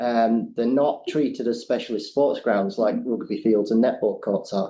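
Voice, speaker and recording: Medium in pitch, a man's voice carries a dark, mellow tone at a moderate pace. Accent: English. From England. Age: middle-aged. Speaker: skate ramp builder. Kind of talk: public deputation. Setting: council meeting.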